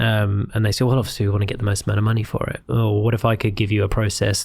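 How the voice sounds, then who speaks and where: A man talks at a very fast pace in a fairly low, somewhat breathy voice. His intonation stays monotone and flat. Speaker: podcast host, real estate agent. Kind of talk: podcast host interview.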